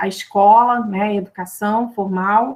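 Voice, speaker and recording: A woman with a Brazilian accent at a very slow pace, ordinary pitch variation, on a very clean recording with a silent background. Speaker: academic commentator. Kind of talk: academic panel commentary. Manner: hesitant, many fillers; slow, careful.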